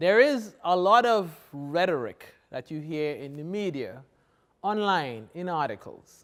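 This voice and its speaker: A man speaks at a fairly slow pace in a strong Trinidadian accent, his voice high in pitch. His pitch swings very widely, and his loudness rises and falls in big swings. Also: very clean recording, silent background. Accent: thick Trinidadian. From Trinidad and Tobago. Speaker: professor. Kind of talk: keynote lecture.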